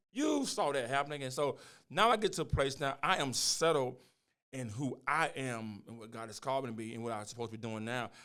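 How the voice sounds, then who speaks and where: On a very clean recording with a silent background, a man at medium pitch speaks fairly quickly in a bright, sharp, animated tone, with big swings in loudness and ordinary pitch variation. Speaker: pastor and podcast host. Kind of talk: casual chat. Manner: fast.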